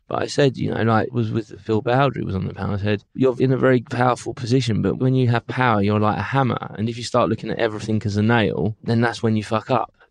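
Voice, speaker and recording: In a London accent, the voice races at a very fast pace with hardly any pauses and fairly even intonation. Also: man, medium pitch for a man. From London, England. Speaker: music booking agent. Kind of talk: interview.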